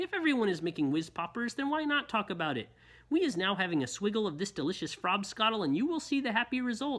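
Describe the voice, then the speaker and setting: A put-on character voice, fairly high in pitch, with very wide pitch swings at a very fast pace. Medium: read story. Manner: ungrammatical, full of made-up words.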